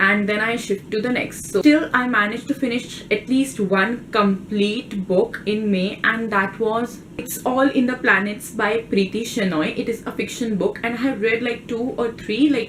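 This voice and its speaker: A woman with an Indian accent talks at a moderate pace and a fairly high pitch, her intonation fairly even, with hardly any pauses over noticeable background noise. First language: Hindi. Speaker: book vlogger. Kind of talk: casual vlog talk.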